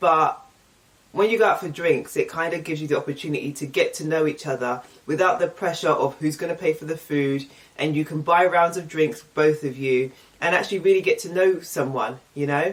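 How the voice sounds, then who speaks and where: A woman's fairly low pitch at a fairly quick pace, with ordinary pitch variation. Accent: English. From England. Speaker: YouTuber. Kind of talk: casual vlog Q&A. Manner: casual, chatty.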